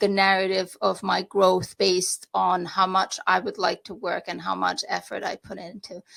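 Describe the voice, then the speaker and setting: A woman talks at a moderate pace in a very clean recording with a silent background and a dry, close sound with no echo. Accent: Romanian. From Romania. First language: Romanian. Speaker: real estate agent. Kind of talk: podcast interview. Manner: halting.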